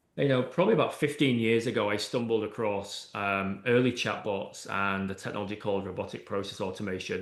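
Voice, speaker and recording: Speaking at a fairly quick pace, a man with a fairly low pitch keeps his intonation fairly even while room echo is audible. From UK. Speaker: AI and automation consultant. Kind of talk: interview podcast. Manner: hesitant, many fillers.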